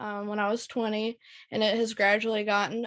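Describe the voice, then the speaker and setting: In an American accent, a woman speaks at a fairly high pitch with monotone, flat intonation, the sound dry and close with no echo. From North Carolina. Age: 20s. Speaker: chronic illness patient speaker. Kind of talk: personal testimony in online meeting.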